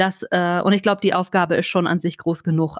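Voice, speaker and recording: This is a woman with a plain, everyday voice, talking at a moderate pace. The sound is dry and close with no echo, and the background is quiet. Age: 30s. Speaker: children's book author and journalist. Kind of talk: casual interview.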